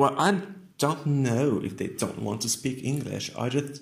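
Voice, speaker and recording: A man with a French accent at a fairly slow pace, with ordinary pitch variation. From France, Nancy. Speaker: English teacher. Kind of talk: casual interview.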